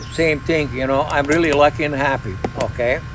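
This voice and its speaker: The voice is monotone and flat, heard with audible room echo and noticeable background noise. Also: man. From Croatia. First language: Croatian. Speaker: pigeon breeder. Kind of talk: casual chat.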